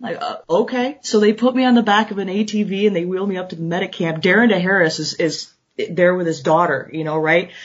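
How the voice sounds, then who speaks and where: At a fairly quick pace, a woman with an American accent speaks at medium pitch with ordinary pitch variation. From US Midwest, Chicago south suburbs. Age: 40s. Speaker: veterinarian and endurance racer. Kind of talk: casual interview.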